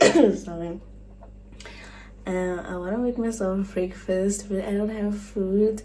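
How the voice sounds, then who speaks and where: Noticeable background noise and audible room echo surround the clip. The woman talks at a very slow pace. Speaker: lifestyle vlogger. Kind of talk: casual vlog narration. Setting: at home.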